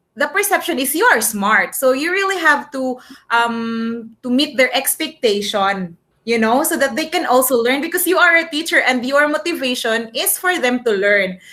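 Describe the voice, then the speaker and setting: Raised and projected, the voice has a bright, sharp tone and lively intonation. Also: woman, high pitch for a woman, moderate pace. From Philippines, provincial area. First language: Filipino. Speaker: English teacher. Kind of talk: class discussion. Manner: code-switching English and Tagalog with many fillers.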